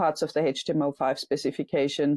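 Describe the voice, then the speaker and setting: A dark, mellow voice speaks at a moderate pace on a very clean, dry, close recording with a silent background and no echo. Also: woman. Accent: German. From Germany. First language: German. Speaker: software engineer and startup founder. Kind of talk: interview. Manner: halting, many fillers.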